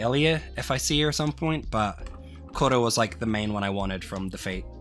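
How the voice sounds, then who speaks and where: A man's voice with very wide pitch swings, music playing in the background. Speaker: anime figure collector. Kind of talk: casual talk to camera.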